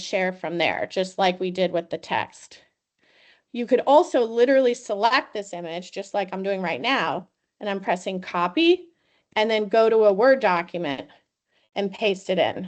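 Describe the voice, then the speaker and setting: Against a quiet background, the speaker has an unremarkable speaking voice at a moderate pace. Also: woman. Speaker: university educational technology trainer. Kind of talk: webinar tutorial.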